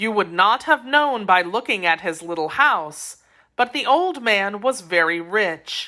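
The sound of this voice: An unforced reading voice carries the words with lively intonation.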